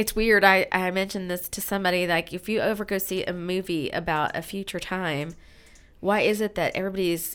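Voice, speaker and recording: In a very clean recording with a silent background, a woman with an unremarkable speaking voice talks at a moderate pace and medium pitch, her intonation fairly even. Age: 50s. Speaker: podcast host. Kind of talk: interview.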